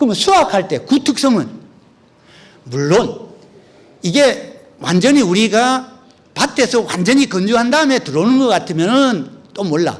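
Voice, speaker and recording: Speaking in an extremely high pitch, a man moves at a fairly slow pace with very wide pitch swings. He leaves long, frequent pauses. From Korea, North Gyeongsang (Uiseong). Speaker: agricultural researcher and lecturer. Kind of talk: lecture. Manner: conversational, with frequent fillers.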